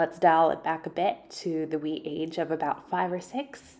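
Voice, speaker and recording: A woman with an ordinary speaking voice talks in a fairly low pitch at a fairly slow pace. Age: 20s. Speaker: beauty vlogger. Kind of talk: scripted narration.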